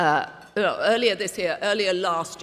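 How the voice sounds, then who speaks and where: Speaking at a fairly slow pace, a woman talks with a British accent. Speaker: media executive and event emcee. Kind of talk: gala speech. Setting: gala lunch with audience. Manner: conversational, humorous.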